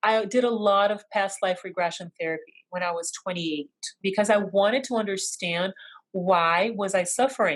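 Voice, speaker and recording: Speaking in a Portuguese accent, a woman at a medium pitch keeps a moderate pace and fairly even intonation. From Brazil. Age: 40s. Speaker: constellations facilitator and teacher. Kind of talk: online course session.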